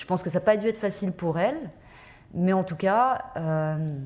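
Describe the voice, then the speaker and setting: Somewhat breathy, a woman speaks at a moderate pace and fairly low pitch in a dark, mellow tone with ordinary pitch variation. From France, Paris. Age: 40s. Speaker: journalist. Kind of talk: testimony. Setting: conference with audience. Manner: hesitant, many fillers.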